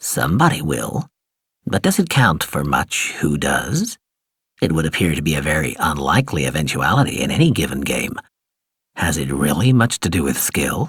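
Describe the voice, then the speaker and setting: A put-on character voice comes out soft-spoken and hissing, with very wide pitch swings. The pace is moderate. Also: man. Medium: read story. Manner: soft-spoken, insinuating.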